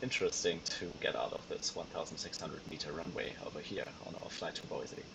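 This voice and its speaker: A man speaks with a German accent. Noticeable background noise sits behind him. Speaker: flight sim streamer. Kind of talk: live stream commentary. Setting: home sim rig live stream. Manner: casual, hesitant with fillers.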